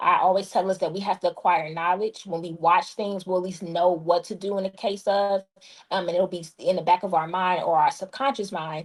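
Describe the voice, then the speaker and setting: On a very clean recording with a silent background, a woman with a normal speaking voice speaks at a fairly quick pace with a medium pitch and fairly even intonation. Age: 30s. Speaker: guest, disaster preparedness author. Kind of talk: interview.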